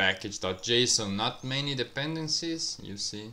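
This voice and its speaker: Fairly slow speech in a non-native accent, bright and sharp in tone, with ordinary pitch variation. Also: man. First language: not English. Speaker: software developer YouTuber. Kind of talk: screen-share coding walkthrough. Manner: halting.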